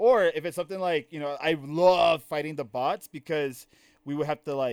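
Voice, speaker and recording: An ordinary speaking voice: a man with an American accent, fairly high pitch, lively intonation and a moderate pace, on a very clean recording with a silent background and a dry, close sound with no echo. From US, Maryland. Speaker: podcast host. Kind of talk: casual chat.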